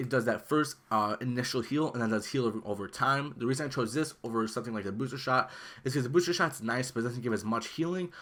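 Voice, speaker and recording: A man talks very fast at a medium pitch, with ordinary pitch variation, on a very clean recording with a silent background. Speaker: gaming YouTuber. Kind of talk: gameplay build tutorial. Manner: casual, filler-heavy.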